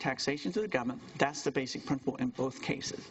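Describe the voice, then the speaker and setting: Against noticeable background noise, a man talks at a very fast pace with a fairly high pitch and lively intonation. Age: 60s. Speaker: university lecturer. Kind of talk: lecture.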